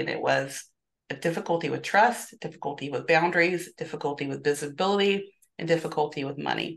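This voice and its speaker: A woman with vocal fry and a very deep, low pitch, at a very fast pace. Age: 50s. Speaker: therapist and business coach. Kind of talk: interview.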